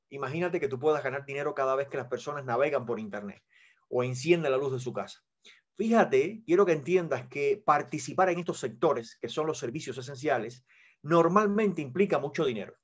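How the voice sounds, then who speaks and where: Over a quiet background, a man with a fairly high pitch talks at a fairly quick pace with lively intonation. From Cuba. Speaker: network marketing presenter; presenter. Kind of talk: sales pitch. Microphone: video call.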